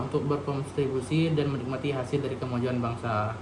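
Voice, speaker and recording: The speech is very fast, delivered in a monotone, flat intonation. There is noticeable background noise and audible room echo. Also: man. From Indonesia, Bangka Belitung. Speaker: university student. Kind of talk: reading aloud; lecture. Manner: halting.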